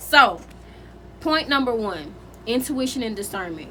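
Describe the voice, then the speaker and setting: Very wide pitch swings at a moderate pace. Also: woman. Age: 20s. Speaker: spiritual content creator. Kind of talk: casual talk to camera.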